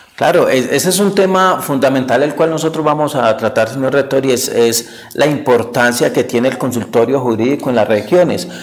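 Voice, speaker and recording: Speaking at a moderate pace with hardly any pauses, a man keeps his loudness very even and his pitch variation ordinary. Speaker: TV interviewer. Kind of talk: TV interview. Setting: on location in a town. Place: studio.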